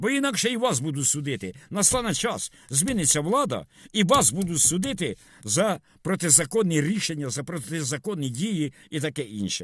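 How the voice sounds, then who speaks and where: On a very clean recording with a silent background, a man speaks at a moderate pace and a fairly high pitch, with vocal fry and very wide pitch swings. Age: 70s. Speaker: video blogger. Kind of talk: monologue vlog. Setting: in a car. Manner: rambling code-switching between Russian and Ukrainian.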